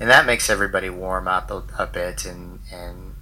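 A man talks with an American accent. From United States. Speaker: entrepreneur, digital nomad. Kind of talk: casual interview chat.

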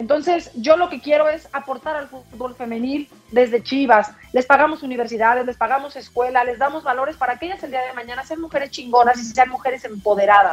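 Amid noticeable background noise, a woman talks at a fairly quick pace in a high voice with ordinary pitch variation and big swings in loudness. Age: 40s. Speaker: sports director and former sports journalist. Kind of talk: podcast interview.

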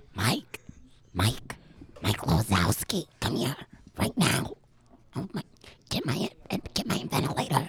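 Using a put-on character voice, a man sounds wheezy and raspy at a fairly high pitch, with very wide pitch swings, a fairly slow pace, and long, frequent pauses. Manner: scolding, frail.

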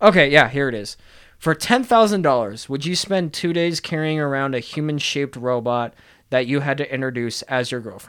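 A man speaks in a plain, everyday voice at a fairly high pitch and a moderate pace. His intonation is lively, and the recording is very clean with a silent background. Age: 20s. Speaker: podcast host. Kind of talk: casual chat.

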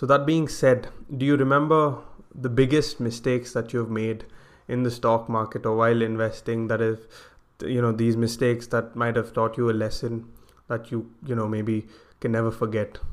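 Here is a man with a plain, everyday voice at a medium pitch. He keeps a moderate pace and fairly even intonation. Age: 20s. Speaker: podcast host. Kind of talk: interview.

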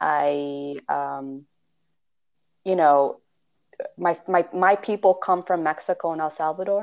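With a Californian accent, a woman speaks fairly slowly in a fairly low voice and fairly even intonation. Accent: California. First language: Spanish. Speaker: podcast co-host, spiritual practitioner. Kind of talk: casual chat.

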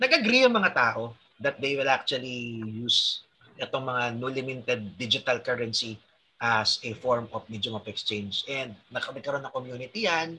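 A man with a bright, sharp tone speaks at medium pitch and a moderate pace, with ordinary pitch variation. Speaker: crypto trader and podcast host. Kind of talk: casual podcast chat.

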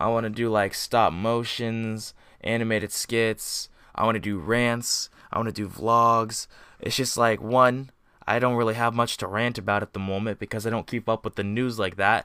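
At a moderate pace, the voice sounds relaxed yet bright and sharp, with monotone, flat intonation on a very clean recording with a silent background. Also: man, medium pitch for a man. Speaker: podcast host. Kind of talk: casual chat. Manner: relaxed, chill.

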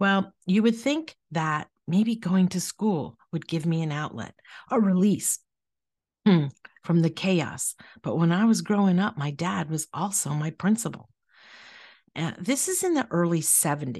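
In a dry, close sound with no echo and a quiet background, a woman speaks somewhat breathy at a fairly slow pace with lively intonation. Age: 60s. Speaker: podcast host. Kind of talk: personal testimony.

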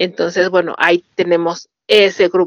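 A woman speaks in a Mexican accent. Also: dry, close sound with no echo. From Mexico. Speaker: podcast host. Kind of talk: casual interview chat.

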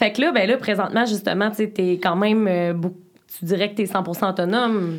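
There is noticeable background noise in this clip. A woman speaks at a moderate pace with a medium pitch and ordinary pitch variation. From Beauce, Quebec. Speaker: podcast host. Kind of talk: casual interview. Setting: studio.

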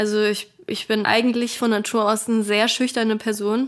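A woman with monotone, flat intonation. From Germany, northern Hesse. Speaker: singer and social media creator. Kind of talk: casual interview. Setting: remote call.

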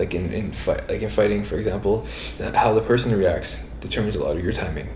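A man speaks with a Toronto accent. The room echo is audible and there is noticeable background noise. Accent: Toronto Canadian English. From Toronto, Canada (Scarborough). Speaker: student, jiu jitsu practitioner. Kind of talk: casual chat. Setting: in-person podcast recording, shared recorder.

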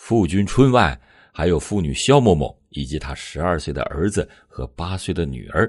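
Over a quiet background, a man with a very deep, low pitch and vocal fry speaks in a solemn, dramatic tone at a moderate pace. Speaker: true-crime podcast narrator. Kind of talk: scripted true-crime narration, storytelling recounting a murder case. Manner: steady, measured, solemn storyteller pace; dramatic emphasis at the violent moments; formal, serious tone.

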